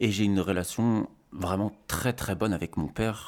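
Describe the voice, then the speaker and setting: A man's plain, everyday voice, fairly low in pitch, at a fairly slow pace. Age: 30s. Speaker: father on parental leave. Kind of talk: casual interview chat.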